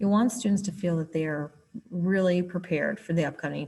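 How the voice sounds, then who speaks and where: With a normal speaking voice, a woman talks at a moderate pace in a fairly low pitch with ordinary pitch variation. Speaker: writing curriculum specialist. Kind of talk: tutorial.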